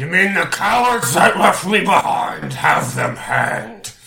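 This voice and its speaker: A man puts on a character voice, pitched high. He talks at a fairly slow pace. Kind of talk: put-on pompous commander voice. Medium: actual play. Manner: commanding, haughty.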